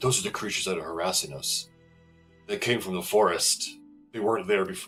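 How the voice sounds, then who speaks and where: A man's put-on character voice, fairly low in pitch and very fast, over faint background music. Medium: actual play.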